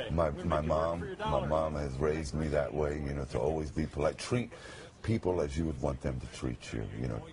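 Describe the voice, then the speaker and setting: Against noticeable background noise, a man speaks in a resonant, very deep, low pitch with ordinary pitch variation. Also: moderate pace. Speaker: radio announcer. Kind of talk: TV interview answer. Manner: emotional.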